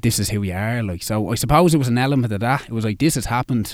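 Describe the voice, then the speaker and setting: A man with a Dublin accent speaks at a very fast pace. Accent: Dublin Irish. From Dublin, Ireland. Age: 30s. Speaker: marathon runner and mental health campaigner. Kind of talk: radio interview. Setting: radio studio.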